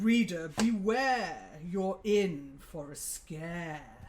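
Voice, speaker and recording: A put-on character voice in a middle pitch moves at a very slow pace. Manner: creepy, spooky.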